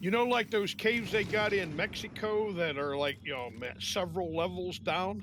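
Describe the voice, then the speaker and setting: Swinging very widely in pitch, a man talks at a fairly slow pace. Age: 60s. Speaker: video game player. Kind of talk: casual chat.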